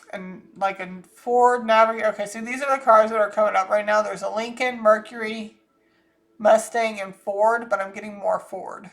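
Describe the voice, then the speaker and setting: A woman with an American accent speaks at a moderate pace and fairly high pitch, her intonation flat and monotone but her loudness swinging widely. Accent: Southern US, comes out thick when angry. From US South (Georgia, Florida; military brat). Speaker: psychic channeler, channel host. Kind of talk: psychic reading monologue. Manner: casual, rambling.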